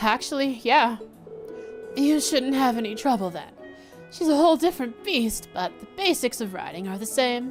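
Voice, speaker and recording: Clear music plays behind a husky, put-on character voice. The pace is moderate. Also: woman, high pitch for a woman. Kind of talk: casual, reassuring.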